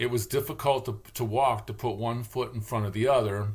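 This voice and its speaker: At a moderate pace, a man of medium pitch speaks somewhat breathily with ordinary pitch variation. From Michigan, Detroit area. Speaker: vlogger, linguist. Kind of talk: casual monologue vlog. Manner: rambling, halting with fillers.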